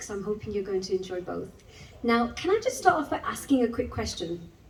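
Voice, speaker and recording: Her pitch is fairly high and her intonation lively. Audible room echo surrounds the woman's voice. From English West Midlands, Wolverhampton area. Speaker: spoken word poet. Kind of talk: spoken word performance. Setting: stage with audience. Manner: conversational, with fillers.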